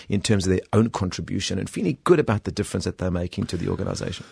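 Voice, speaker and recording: A man with a South African accent speaks at a fairly low pitch with ordinary pitch variation, in a dry, close recording with no echo and a quiet background. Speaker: executive coach and author. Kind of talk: radio interview. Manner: hesitant, with fillers.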